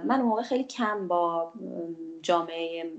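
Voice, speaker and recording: This woman speaks neither fast nor slow. Her voice climbs and dips over a very wide range. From Iran, Khuzestan (Ahvaz), Bakhtiari roots. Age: 40s. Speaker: journalist. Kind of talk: personal testimony.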